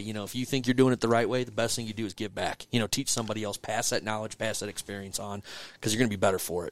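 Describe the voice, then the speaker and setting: Very fast and fairly even in intonation, a man speaks at a fairly low pitch. The recording is very clean, with a silent background. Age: 40s. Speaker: regional director of a waterfowl conservation group. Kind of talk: casual interview chat.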